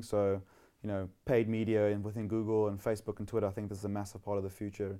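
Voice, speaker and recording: Recorded very cleanly against a silent background, the voice has a South African accent, a dark, mellow tone and monotone, flat intonation. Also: man. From South Africa, Western Cape (Somerset West). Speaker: tech entrepreneur. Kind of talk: interview. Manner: casual, hesitant with fillers.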